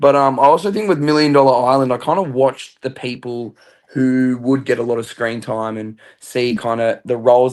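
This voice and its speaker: A man with an Australian accent speaks at a moderate pace in a medium pitch, his intonation fairly even. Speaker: reality TV contestant. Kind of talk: interview.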